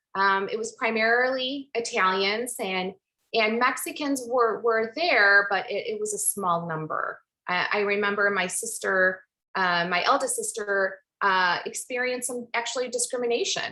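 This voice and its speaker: A woman with a Chicago accent, fairly high pitch, moderate pace, ordinary pitch variation and a bright, sharp tone. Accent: Chicago American English. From Chicago Heights, Illinois, US. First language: Spanish. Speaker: pharmacist and academic. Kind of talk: presentation talk.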